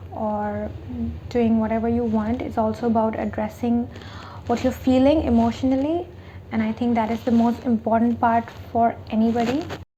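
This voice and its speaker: A woman speaking at a moderate pace, with noticeable background noise. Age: 20s. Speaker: lifestyle vlogger. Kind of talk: casual vlog talk to camera.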